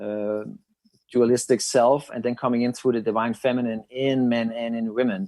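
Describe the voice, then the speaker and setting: A man with a Danish accent, medium in pitch, in a monotone, flat delivery. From Denmark. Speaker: psychic channeler. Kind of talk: interview.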